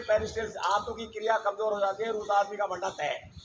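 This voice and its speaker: A man's voice at a moderate pace, with noticeable background noise. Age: 60s. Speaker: yoga teacher. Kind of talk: yoga class instruction. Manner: animated; informal.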